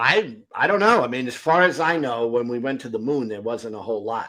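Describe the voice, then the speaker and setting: A man's medium-pitched voice with an American accent, bright and sharp in tone, at a moderate pace with lively intonation. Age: 60s. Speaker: atheist live-stream host. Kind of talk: informal debate. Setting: live stream.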